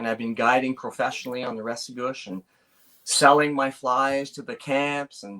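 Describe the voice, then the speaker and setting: This man has an unremarkable speaking voice at medium pitch. He keeps a moderate pace and fairly even intonation. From New Brunswick, Canada (Bathurst). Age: 40s. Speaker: fly tier and fishing guide. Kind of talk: interview.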